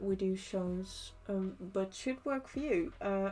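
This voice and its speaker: The woman's voice has a dark, mellow tone at a medium pitch. She speaks very slowly. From Netherlands. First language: Dutch. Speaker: cosplay maker streamer. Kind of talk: casual livestream chat while crafting. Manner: hesitant, many fillers and restarts.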